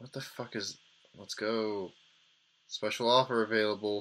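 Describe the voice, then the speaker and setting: Lively intonation carries a man's words at a fairly slow pace. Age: 20s. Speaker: gaming video host. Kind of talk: gameplay commentary. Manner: animated. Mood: sarcastic, mildly exasperated. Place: home room.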